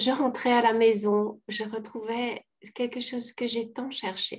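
Against a quiet background, a woman speaks very slowly in a high pitch with monotone, flat intonation. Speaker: participant. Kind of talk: question and answer session. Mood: warm, emotional, smiling. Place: home room. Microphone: video call.

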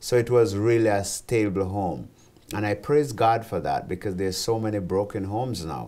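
With a Jamaican accent, a man speaks at a moderate pace in a dark, mellow tone, his fairly low pitch showing ordinary variation. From Jamaica (rural St. Elizabeth, then Kingston). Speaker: ministry founder and president; interviewee. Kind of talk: interview testimony. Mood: earnest, testimonial. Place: studio. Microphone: lapel.

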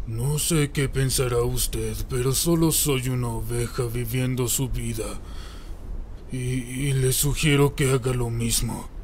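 A man puts on a character voice. He speaks at a fairly slow pace with clear background noise. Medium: fan dub. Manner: grumpy, weary, dismissive; grudgingly curious later.

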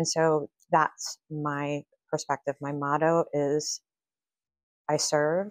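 A woman's very deep, low voice with an American accent, dry with no echo, over a quiet background. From Kansas, then northern Virginia. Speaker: real estate agent and team leader; guest. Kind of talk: casual interview. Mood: earnest, warm. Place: office.

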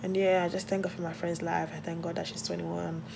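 A woman speaks at a fairly low pitch. Noticeable background noise can be heard. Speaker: vlogger. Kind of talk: casual vlog talk. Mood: reflective, grateful. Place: home room. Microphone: phone near.

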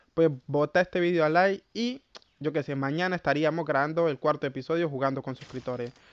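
Dry and close with no echo, a man speaks at a fairly quick pace in a fairly high pitch. His tone is animated, with ordinary pitch variation. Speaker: gaming YouTuber. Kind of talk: gameplay commentary. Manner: stumbles when talking fast; casual, animated.

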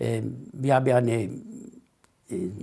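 A man with an Italian accent, against a quiet background. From Italy. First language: Italian (speaking German). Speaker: Italian immigrant association leader; interviewee. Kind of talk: oral history interview. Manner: halting, many hesitations. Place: home room. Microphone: lapel.

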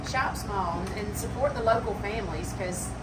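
A woman talks at a moderate pace over loud background noise. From Alabama, Marengo County. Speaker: country store owner. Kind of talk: interview. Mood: earnest, heartfelt. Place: shop. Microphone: camera far.

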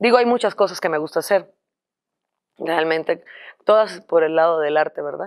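Long, frequent pauses mark a woman's moderate pace over a quiet background. Her pitch is fairly low, with ordinary variation. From Cuba. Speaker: singer; guest. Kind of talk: interview. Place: studio.

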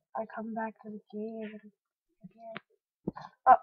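A woman speaks quietly in a fairly high voice. Her voice is somewhat breathy. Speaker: gaming youtuber. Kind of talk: gameplay commentary.

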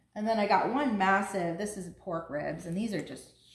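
A woman speaks with ordinary pitch variation. Room echo is audible, along with light background noise. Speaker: home vlogger. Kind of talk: casual vlog chat. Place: kitchen. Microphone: camera far.

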